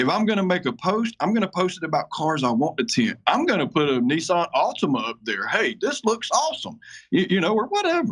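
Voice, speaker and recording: At a fairly quick pace, a man with an American accent speaks at a high pitch with very wide pitch swings. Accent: sounds like a hillbilly. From Georgia, US South (Atlanta area). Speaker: window tinting shop owner. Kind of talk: podcast interview.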